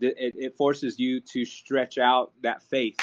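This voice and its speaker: A man speaks at a medium pitch with an American accent. His delivery is monotone and flat. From US Southwest, Navajo. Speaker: associate minister. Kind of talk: casual religious discussion. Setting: video call.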